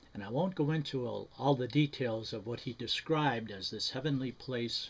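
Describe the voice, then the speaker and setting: A man with an American accent speaks at a moderate pace and medium pitch, somewhat breathy, with ordinary pitch variation. The recording is very clean, with a silent background. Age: 80s+. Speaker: retired banker giving personal testimony. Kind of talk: testimony. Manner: halting, many fillers and restarts.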